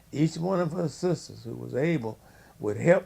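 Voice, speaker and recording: At a moderate pace, a man talks. He has a Louisiana accent. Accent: Southern US (Louisiana). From US South, Louisiana (Shreveport). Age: 80s+. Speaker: family elder interviewed. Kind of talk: oral history interview.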